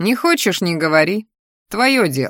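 Speaking fairly slowly in a put-on character voice, a woman with a fairly low pitch and a fairly bright tone makes big pitch swings, on a very clean recording with a silent background.

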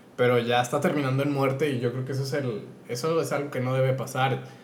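A man talks at medium pitch. Audible room echo can be heard. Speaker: podcast co-host. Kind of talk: casual chat. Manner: animated.

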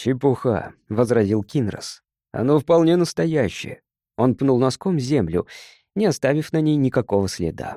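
Against a quiet background, the speaker does plain reading aloud with lively intonation.

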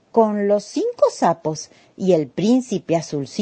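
What you hear is a natural reading voice.

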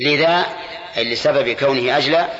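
A man with a medium-pitched voice talks at a fairly quick pace, with ordinary pitch variation and a fairly bright tone. Audible room echo surrounds his speech.

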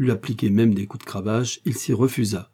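What you hear is someone plainly reading text aloud.

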